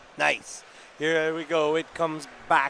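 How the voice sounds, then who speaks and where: Over noticeable background noise, a man speaks at a fairly high pitch in a monotone, flat intonation. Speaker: play-by-play hockey commentator. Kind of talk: live commentary.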